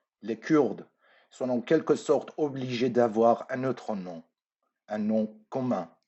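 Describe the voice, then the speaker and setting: Speaking at a very slow pace, a man at medium pitch shows ordinary pitch variation and big swings in loudness. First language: Persian (speaking French). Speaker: artist. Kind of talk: recorded lecture. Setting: pre-recorded at home.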